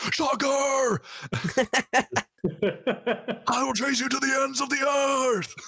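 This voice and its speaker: The speaker uses a put-on character voice, delivering words very slowly and leaving long pauses that come often. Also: man, extremely high pitch for a man. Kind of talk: street-tough. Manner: tough, aggressive.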